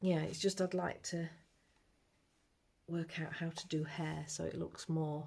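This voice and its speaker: Quiet and somewhat breathy, a woman with a very deep, low voice talks at a fairly slow pace in a flat monotone, leaving long, frequent pauses. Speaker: amateur artist vlogger. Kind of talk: casual vlog. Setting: at home, early morning. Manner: quiet, low-pitched talk.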